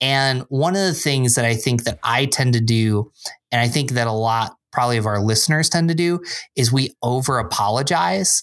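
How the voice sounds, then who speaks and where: A man with an American accent speaks in an unremarkable speaking voice, at a medium pitch, a moderate pace and with ordinary pitch variation. His loudness stays very even, and the recording is very clean with a silent background. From upstate New York (Binghamton). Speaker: church small groups pastor. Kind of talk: casual chat.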